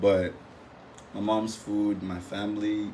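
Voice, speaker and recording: Man with a fairly low voice and an American accent, flat monotone delivery, audible echo from the room. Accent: Nigerian accent, adapting to American. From Nigeria, Imo State. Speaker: former international student. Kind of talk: podcast interview.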